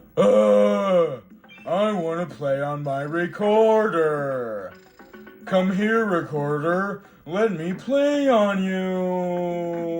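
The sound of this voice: Over faint music in the background, a man puts on a whiny character voice, high in pitch. He speaks very slowly.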